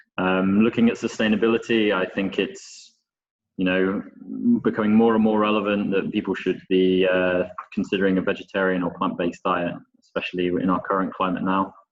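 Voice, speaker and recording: A man speaks in a British accent. His fairly low voice is monotone, with flat intonation. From Scotland and northern England. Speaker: chef instructor. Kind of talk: webinar presentation.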